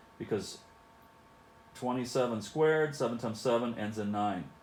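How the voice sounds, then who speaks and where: Audible room echo surrounds this recording. A man speaks at a medium pitch. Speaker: math teacher. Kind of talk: video lesson for students. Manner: casual, conversational.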